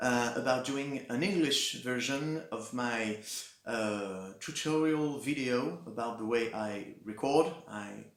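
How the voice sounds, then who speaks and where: Amid audible room echo and noticeable background noise, a man speaks at a medium pitch with ordinary pitch variation. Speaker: musician and home recording creator. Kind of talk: tutorial. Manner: halting, many filler words.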